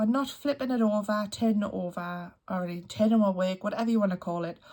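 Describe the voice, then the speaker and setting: With a Geordie accent, a somewhat breathy woman speaks at a medium pitch with ordinary pitch variation. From northeast England (Newcastle area). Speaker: crochet youtuber. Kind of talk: tutorial. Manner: casual, chatty.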